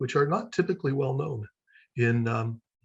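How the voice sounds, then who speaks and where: An American-accented man talks at a moderate pace, sounding somewhat breathy. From United States. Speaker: seminary lecturer. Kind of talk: online presentation.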